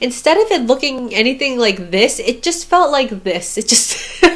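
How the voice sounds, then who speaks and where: A woman's pitch swings very widely as noticeable background noise plays behind her. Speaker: book reviewer. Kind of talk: casual book review monologue.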